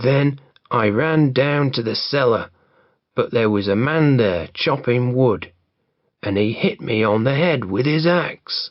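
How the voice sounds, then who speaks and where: A man puts on a raspy character voice at a fairly slow pace, his medium pitch carried by lively intonation and very even loudness. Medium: read story. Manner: panicky.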